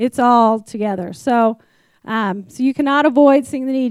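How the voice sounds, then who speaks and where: A woman with an American accent talks at a moderate pace, fairly high in pitch with fairly even intonation. The recording is very clean with a silent background and a dry, close sound with no echo. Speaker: ministry program leader. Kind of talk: testimony.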